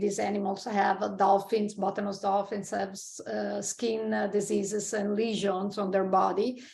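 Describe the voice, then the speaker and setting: In a strong Italian accent, a woman speaks at a moderate pace and medium pitch with monotone, flat intonation. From Italy. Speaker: marine scientist. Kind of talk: interview conversation. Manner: halting, many fillers.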